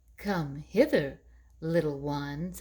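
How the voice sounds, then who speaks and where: This is a put-on character voice from a woman. Its pitch is very deep and low. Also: ordinary pitch variation. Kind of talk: bedtime story. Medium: read story. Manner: coaxing, sly.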